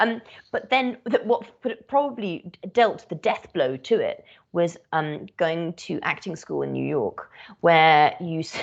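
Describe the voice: A woman with a British accent speaks at a fairly slow pace and a fairly low pitch. Her intonation is lively, with vocal fry. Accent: British, crisp RP English.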